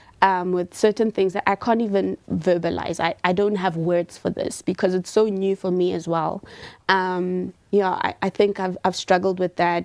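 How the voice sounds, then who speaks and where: A woman speaks in a medium pitch at a moderate pace. Her intonation is monotone and flat, and the sound is dry and close with no echo. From rural South Africa. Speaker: environmental scientist and chemist. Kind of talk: panel discussion.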